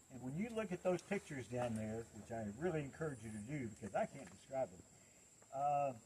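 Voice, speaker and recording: A man with an American accent speaks at a medium pitch in a dark, mellow, somewhat breathy tone. His pitch swings very widely and his loudness swings a lot. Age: 70s. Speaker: environmental activist and hike leader. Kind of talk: outdoor group address. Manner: halting.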